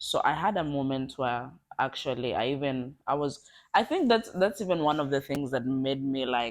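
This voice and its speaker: Speaking with a South African accent at a moderate pace, a woman has a very deep, low pitch and lively intonation on a very clean recording with a silent background. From southern Africa (Kenyan-born, raised in Botswana/South Africa). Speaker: international student. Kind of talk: interview. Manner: halting.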